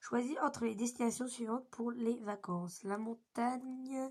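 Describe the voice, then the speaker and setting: A woman's very slow pace with fairly even intonation. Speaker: youtuber. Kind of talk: casual chat. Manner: casual, hesitant.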